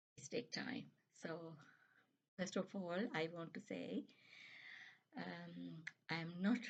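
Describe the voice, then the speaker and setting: A woman speaks at a very slow pace with vocal fry. Her pitch is very deep and low. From Sri Lanka. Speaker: nurse, YouTuber. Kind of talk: casual vlog advice. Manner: hesitant, many fillers.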